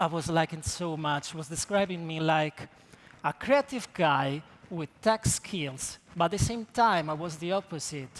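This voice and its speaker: A man with an Italian accent, high pitch, ordinary pitch variation and a fairly slow pace. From Italy. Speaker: creative technologist. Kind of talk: conference talk.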